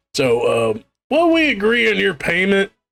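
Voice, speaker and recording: A man uses a put-on character voice, high-pitched and full of very wide pitch swings. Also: moderate pace. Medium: actual play. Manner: hesitant, stumbling.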